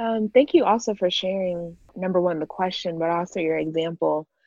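A woman with an American accent has a normal speaking voice and talks at a moderate pace. Her pitch variation is ordinary. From Florida, US. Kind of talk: casual interview.

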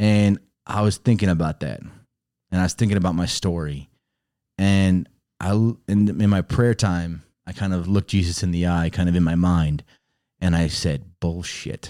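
Recorded very cleanly against a silent background, a man with an American accent speaks at a moderate pace in a very deep, low pitch, his tone dark and mellow and his intonation fairly even. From Chicago, Illinois. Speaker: pastor's son telling his faith story. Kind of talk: testimony.

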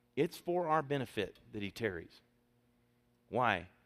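A loud man's voice with vocal fry and very wide pitch swings, at a moderate pace, in a dry, close sound with no echo and a very clean recording with a silent background. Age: 40s. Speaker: pastor. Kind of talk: Sunday sermon from the pulpit, drawing call-and-response amens from the congregation. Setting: church. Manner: emphatic, rhythmic preaching cadence with repeated phrases.

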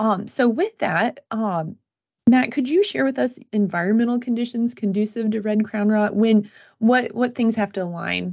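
In a quiet background, a woman with an American accent speaks at a moderate pace and fairly high pitch, somewhat breathy, with ordinary pitch variation. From West Central Illinois. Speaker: field agronomist and podcast producer. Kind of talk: casual chat.

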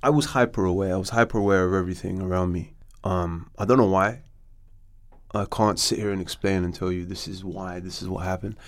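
Very fast speech comes from a man in a London accent. His voice is very deep and low, with fairly even intonation. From London, raised in Morocco. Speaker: actor and director. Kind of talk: casual chat.

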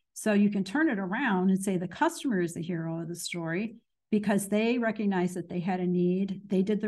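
Speaking at a fairly quick pace with an American accent, a woman has a somewhat breathy, medium-pitched voice with a dark, mellow tone and ordinary pitch variation. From US Midwest, Danville, Illinois. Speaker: marketing expert. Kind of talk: interview.

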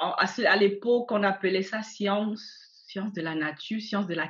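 Somewhat breathy, a woman speaks with a fairly high pitch and ordinary pitch variation. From Cameroon. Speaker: entrepreneur. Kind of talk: interview. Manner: hesitant.

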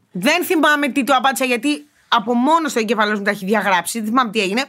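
The voice races along at a very fast pace with very wide pitch swings. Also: woman. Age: 20s. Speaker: podcast co-host. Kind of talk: casual chat.

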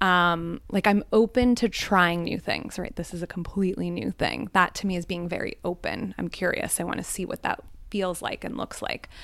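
With an American accent, a woman speaks in a normal speaking voice at a moderate pace with ordinary pitch variation. She barely pauses at all. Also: medium pitch for a woman. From Northeast Pennsylvania, Scranton area. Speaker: hot seat guest. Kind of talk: audience Q&A. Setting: apartment with live audience.

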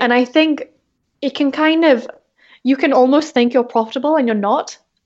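A high-pitched woman with an English accent talks at a moderate pace, her intonation fairly even. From England. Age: 20s. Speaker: entrepreneur. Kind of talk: interview.

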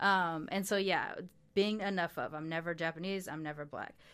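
Recorded very cleanly against a silent background, a woman with an American accent has a plain, everyday voice, a fairly low pitch and ordinary pitch variation. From Long Beach, California. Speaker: podcast host and producer. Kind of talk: casual interview conversation.

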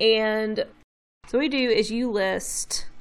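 Very slowly, a woman speaks with a slight Southern US accent. The recording is very clean, with a silent background. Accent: slight Southern twang. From Memphis, Tennessee, US South. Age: 30s. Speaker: brand designer and illustrator. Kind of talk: casual interview.

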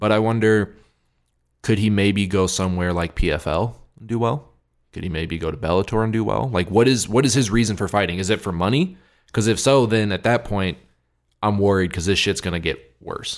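An unremarkable speaking voice from a man, fairly low in pitch with ordinary pitch variation and a fairly quick pace, in a very clean recording with a silent background. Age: 20s. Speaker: MMA podcast co-host. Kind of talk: casual chat. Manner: casual, filler-heavy.

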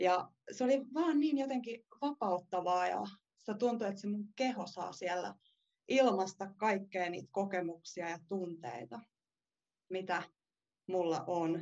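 The woman speaks at a very slow pace with long, frequent pauses. Her medium-pitched voice has lively intonation. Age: 20s. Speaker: dance student. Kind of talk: interview.

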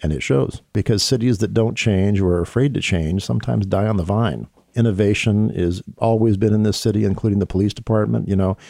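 A man with an American accent, fairly low-pitched and dark, mellow in tone, fairly quick, with ordinary pitch variation, very even loudness and a very clean recording with a silent background. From Seattle, US Pacific Northwest. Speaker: police officer. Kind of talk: interview.

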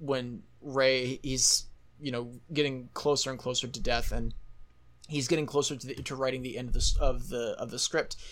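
Pitch varies in an ordinary way in what is an unremarkable speaking voice. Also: man. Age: 20s. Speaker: podcast host. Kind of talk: casual interview chat.

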